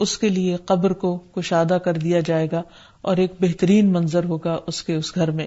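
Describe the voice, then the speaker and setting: On a very clean recording with a silent background, a woman speaks with a fairly low pitch and monotone, flat intonation. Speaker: Islamic scholar. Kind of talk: religious lecture.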